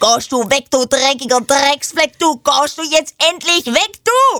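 A put-on character voice, pitched high, speaks at a moderate pace in a Swabian accent. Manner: scolding, addressing a stain.

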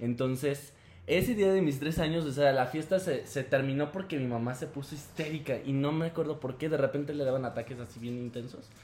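Somewhat breathy, a man speaks at a fairly quick pace with a fairly high pitch and ordinary pitch variation. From León, Guanajuato, Mexico. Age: 20s. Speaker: performance artist. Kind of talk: casual chat.

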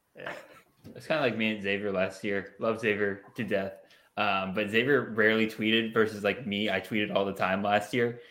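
Fairly low pitch from a man with a bright, sharp tone, moderate pace and fairly even intonation, plus audible room echo. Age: 20s. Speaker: college fantasy football analyst and podcast host. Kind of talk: casual chat.

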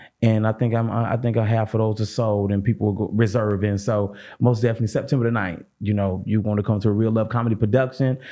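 Talking at a very fast pace with hardly any pauses, a man keeps a very even loudness, his fairly low pitch paired with a dark, mellow tone. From St. Louis, Missouri. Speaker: comedian. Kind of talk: casual chat. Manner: animated.

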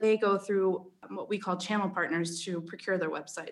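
A woman with an American accent speaks at a moderate pace. Hers is an ordinary speaking voice, with ordinary pitch variation. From Philadelphia. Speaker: podcast guest, chief marketing officer. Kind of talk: business.

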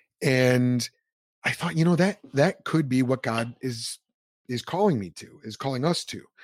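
A man at a moderate pace, medium-pitched, with lively intonation, an ordinary speaking voice, and a dry, close sound free of echo. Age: 30s. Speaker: ministry leader and former pastor. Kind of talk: interview conversation.

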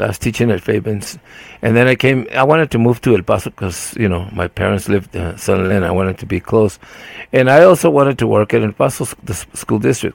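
A man's fairly low voice with vocal fry, lively intonation and a very fast pace. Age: 70s. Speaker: podcast co-host. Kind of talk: casual chat.

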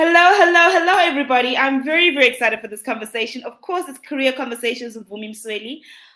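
At a very fast pace with hardly any pauses, a woman with a high pitch projects a raised voice, using lively intonation and big swings in loudness. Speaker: podcast host. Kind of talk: interview, career conversation.

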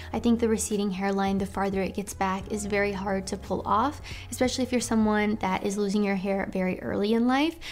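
The woman has an unremarkable speaking voice at a medium pitch, with ordinary pitch variation. She talks at a fairly quick pace with hardly any pauses. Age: 20s. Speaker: YouTuber giving dating and style advice. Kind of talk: casual vlog monologue.

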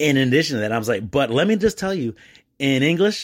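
A man with a Detroit accent, animated in tone, with very wide pitch swings and a fairly quick pace, on a very clean recording with a silent background. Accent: Detroit-area American (East Dearborn). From Michigan (East Dearborn, Detroit area). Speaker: podcast host and importer of Mexican goods. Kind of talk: solo casual monologue. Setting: at home at night. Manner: halting, many fillers.

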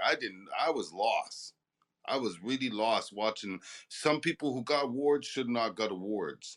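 Pitched at a medium level, a man talks at a moderate pace. He has an unremarkable speaking voice. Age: 40s. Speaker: underground rap artist. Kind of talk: casual chat.

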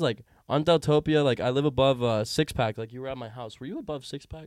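With an ordinary speaking voice, a man talks at a fairly quick pace with ordinary pitch variation against a quiet background. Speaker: guest. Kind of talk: casual chat.

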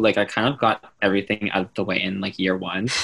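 A man talks at fairly low pitch. His pitch varies in an ordinary way. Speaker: guest, cousin of host. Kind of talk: casual chat between cousins. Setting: remote recording. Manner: animated, joking.

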